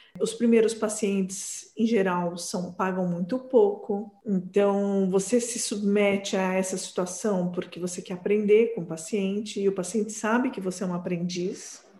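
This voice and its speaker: A woman speaking at a fairly slow pace with hardly any pauses, over noticeable background noise. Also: medium pitch for a woman. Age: 40s. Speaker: psychoanalyst. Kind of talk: interview.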